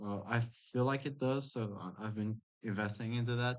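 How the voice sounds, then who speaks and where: With a non-native accent, a man speaks at a moderate pace and medium pitch using fairly even intonation. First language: not English. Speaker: gaming youtuber. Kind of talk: gameplay commentary. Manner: halting, many fillers and restarts; casual.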